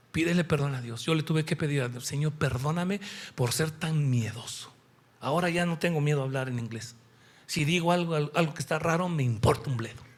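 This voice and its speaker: Fairly quick, somewhat breathy male speech, fairly high in pitch with ordinary pitch variation, on a very clean recording with a silent background. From Mexico. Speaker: preacher. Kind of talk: sermon. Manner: animated.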